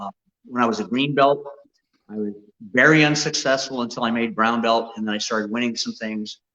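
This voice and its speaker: In a plain, everyday voice, a man talks at a moderate pace with ordinary pitch variation. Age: 60s. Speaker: martial arts grandmaster. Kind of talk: interview.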